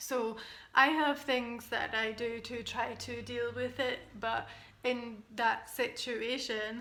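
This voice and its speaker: This woman has a Scottish accent and a high pitch with a bright, sharp tone. She talks very slowly in a monotone, flat intonation. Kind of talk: personal vlog talk to camera. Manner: slow, halting, hesitant.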